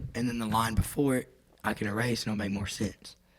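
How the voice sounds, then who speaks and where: With an American accent, a man talks at a fairly quick pace and medium pitch, his intonation fairly even. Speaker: songwriter. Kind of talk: casual chat.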